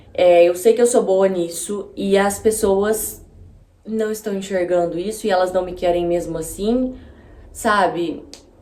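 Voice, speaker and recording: Audible room echo surrounds a woman speaking at a medium pitch and fairly slow pace, with fairly even intonation. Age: 20s. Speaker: YouTuber. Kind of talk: casual vlog monologue. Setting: home video with natural light. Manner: conversational, informal.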